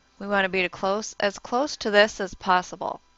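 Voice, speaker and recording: Soft-spoken and medium in pitch, a woman speaks at a moderate pace with fairly even intonation. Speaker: yoga instructor. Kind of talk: guided yoga class instruction.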